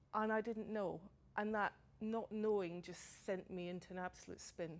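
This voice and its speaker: A woman with a Scottish accent, medium pitch, fairly even intonation and a moderate pace. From Scotland. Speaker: person with lived experience of suicidal crisis. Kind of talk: testimony.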